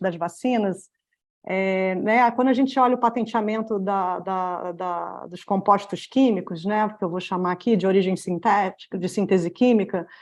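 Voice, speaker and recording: Against a quiet background, a woman talks at a moderate pace and medium pitch with fairly even intonation. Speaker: patent and access-to-medicines expert, webinar panelist. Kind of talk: presentation in a webinar. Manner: hesitant, many fillers.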